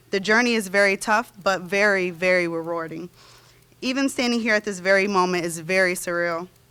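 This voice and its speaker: A woman's voice is shaky, with a bright, sharp tone and a medium pitch. She moves at a fairly quick pace with ordinary pitch variation. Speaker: nursing graduate. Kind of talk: graduation speech. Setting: ceremony stage with audience. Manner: shaky, emotional.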